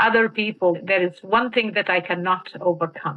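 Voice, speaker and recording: With a Mauritanian accent, a woman speaks at medium pitch with ordinary pitch variation. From Western Sahara. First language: Hassaniya Arabic. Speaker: activist. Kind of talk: interview testimony. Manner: halting.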